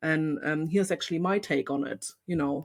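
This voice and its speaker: Speaking in a German accent, a woman has a very deep, low pitch with ordinary pitch variation, on a very clean recording with a silent background. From East Germany. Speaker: photographer and podcast host. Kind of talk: casual chat.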